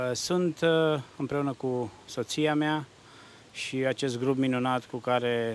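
This is a plain, everyday voice from a man. He speaks at a medium pitch with fairly even intonation. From Romania, Hunedoara. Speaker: church worship musician. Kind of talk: interview. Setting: outdoors.

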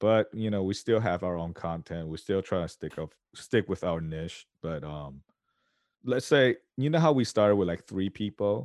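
A man with an unremarkable speaking voice talks at a moderate pace, his pitch fairly low and his intonation lively. The sound is dry and close with no echo, over a quiet background. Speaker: podcast co-host. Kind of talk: casual chat.

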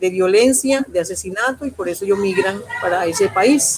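Noticeable background noise runs under a woman's voice. She speaks at a fairly slow pace with ordinary pitch variation. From Colombia, Urabá region. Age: 50s. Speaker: social leader and political candidate. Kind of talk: interview.

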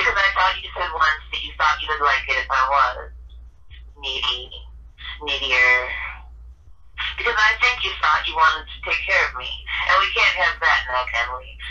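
A woman with an American accent talks at a moderate pace, with long, frequent pauses. Her loudness swings widely, and there is noticeable background noise. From Ohio. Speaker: poet. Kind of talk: poetry reading and casual interview. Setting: phone call.

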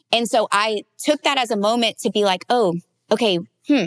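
A woman with a plain, everyday voice and an American accent, at a moderate pace with ordinary pitch variation, in a dry, close recording with no echo. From US South, Louisiana. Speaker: wedding photographer. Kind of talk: casual interview.

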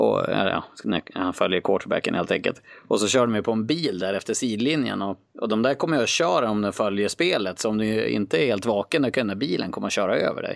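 Against a quiet background, a man talks at a fairly quick pace in a fairly low pitch, with lively intonation and vocal fry. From northern Sweden, Skellefteå. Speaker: guest, sports enthusiast. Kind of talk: casual interview.

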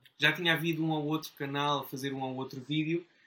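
A bright, sharp tone in a fairly high-pitched male voice. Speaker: board game YouTuber. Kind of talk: casual interview.

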